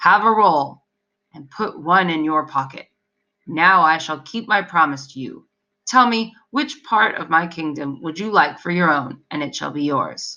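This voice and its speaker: A female-sounding voice at a middle pitch performs a put-on character voice. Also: moderate pace. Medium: read story.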